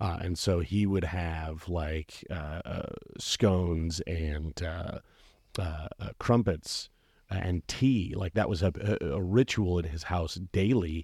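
A man's very deep, low, somewhat breathy voice at a very slow pace, in a very clean recording with a silent background. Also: ordinary pitch variation. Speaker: podcast host. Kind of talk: casual chat. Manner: hesitant, filler-heavy.

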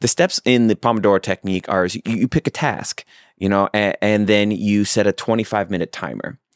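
A man speaks in a normal speaking voice with a fairly low pitch and lively intonation. The recording is very clean with a silent background and a dry, close sound with no echo. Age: 40s. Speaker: podcast host and newsletter writer. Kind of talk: solo podcast monologue. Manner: casual, frequent filler words.

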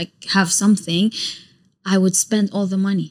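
A woman with an Arabic accent at a fairly quick pace, on a very clean recording with a silent background. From Iraq. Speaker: YouTuber and content creator. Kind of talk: casual chat. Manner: animated.

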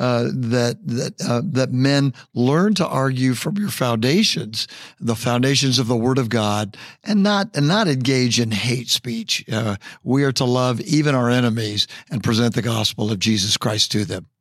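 Using an ordinary speaking voice, a man of medium pitch talks at a fairly slow pace with lively intonation. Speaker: pastor and podcast host. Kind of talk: interview.

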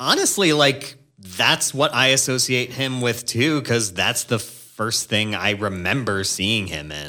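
With a bright, sharp tone, vocal fry and lively intonation, a man talks at a fairly slow pace. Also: medium pitch for a man, hardly any pauses. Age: 20s. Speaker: podcast host, real estate agent. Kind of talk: casual chat.

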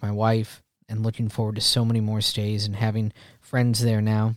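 In a very clean recording with a silent background, a man talks at a fairly quick pace in a fairly low, monotone voice with flat intonation. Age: 40s. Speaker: podcast host. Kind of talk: casual podcast monologue. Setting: home recording.

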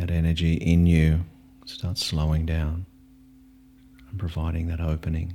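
Monotone and flat in intonation, the voice keeps a calm tone and takes long, frequent pauses. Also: man, very deep, low pitch for a man. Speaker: meditation teacher. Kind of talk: guided meditation. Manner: slow, calm, soft-spoken, with long pauses.

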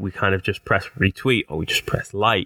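In a Teesside accent, a man speaks at a fairly low pitch with a bright, sharp tone and fairly even intonation, recorded very cleanly against a silent background with a dry, close sound and no echo. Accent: Teesside (north-east English), noticeable. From Teesside, north-east England. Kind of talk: casual chat, conversational podcast.

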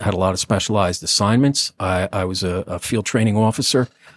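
A man with an American accent, fairly low pitch, and fairly even intonation at a fairly quick pace, in a dry, close sound with no echo on a very clean recording with a silent background. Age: 50s. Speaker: retired police lieutenant. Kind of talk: interview testimony. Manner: halting.

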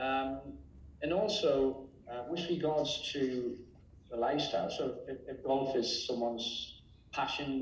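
There is audible room echo around the voice. A man speaks with an English accent. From England. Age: 60s. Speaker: real estate agency owner. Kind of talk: interview.

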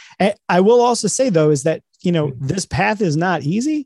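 The man's dark, mellow voice moves at a fairly quick pace with lively intonation. The sound is dry and close with no echo, over a quiet background. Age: 40s. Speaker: author and leadership speaker. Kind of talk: interview.

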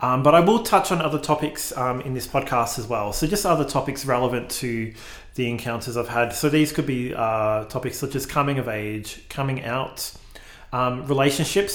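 Against audible room echo, a man talks fairly quickly at a medium pitch, with ordinary pitch variation. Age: 40s. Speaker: podcast host. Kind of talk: solo monologue. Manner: hesitant, many fillers.

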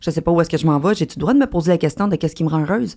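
Her voice sits at a fairly low pitch with ordinary pitch variation. The woman is recorded very cleanly over a silent background. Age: 30s. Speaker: online content creator. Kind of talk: casual chat.

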